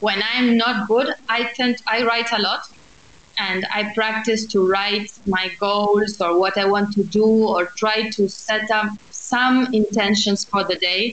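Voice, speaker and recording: A woman speaks at a very slow pace and a fairly high pitch, her loudness very even. Noticeable background noise is present. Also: fairly even intonation. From Argentina, Buenos Aires. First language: Spanish. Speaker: architect and social entrepreneur. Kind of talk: interview.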